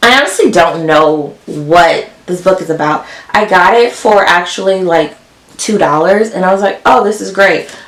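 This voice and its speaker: Ordinary pitch variation amid noticeable background noise. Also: woman. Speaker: book youtuber. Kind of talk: casual vlog talk.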